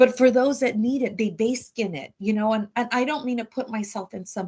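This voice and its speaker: A woman speaks at a moderate pace. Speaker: small business advisor. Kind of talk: interview. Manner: loud; energetic, animated.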